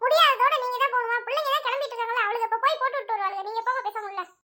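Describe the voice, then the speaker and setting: A woman performs a cartoonish character voice at an extremely high pitch. She talks very fast. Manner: scolding, exasperated.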